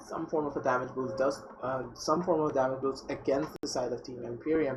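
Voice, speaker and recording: A quiet man at medium pitch speaks with fairly even intonation over noticeable background noise. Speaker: esports caster. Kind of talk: live commentary. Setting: live stream. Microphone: cheap USB webcam mic.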